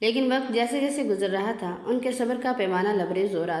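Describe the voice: The text is read aloud plainly. Pitch varies in an ordinary way.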